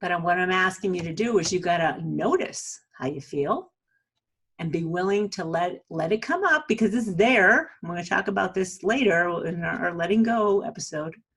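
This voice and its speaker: A woman with a New England accent talks at a medium pitch and a moderate pace, with ordinary pitch variation. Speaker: self-help video host. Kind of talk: motivational talk to camera. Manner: casual, conversational.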